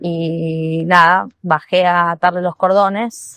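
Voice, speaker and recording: A woman speaks at medium pitch with a dry, close sound and no echo. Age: 50s. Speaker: listener sending voice message. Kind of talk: anecdote.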